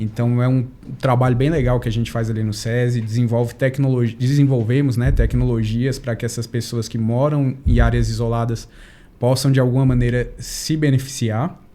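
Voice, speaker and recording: This man's medium-pitched voice moves at a moderate pace with monotone, flat intonation. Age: 30s. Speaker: family doctor. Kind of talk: podcast interview.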